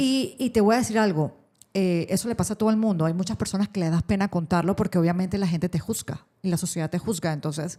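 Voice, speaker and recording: Speaking very fast in a Panamanian accent, a woman with a medium pitch and a dark, mellow tone uses ordinary pitch variation on a very clean recording with a silent background. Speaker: radio host and social communicator. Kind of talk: interview answer.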